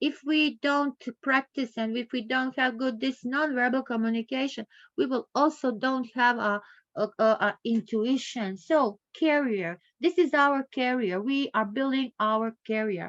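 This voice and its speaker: At a fairly slow pace, the voice shows ordinary pitch variation in a dry, close sound with no echo over a quiet background. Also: woman, high pitch for a woman. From Croatia. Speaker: professor. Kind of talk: lecture. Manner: halting, searching for words.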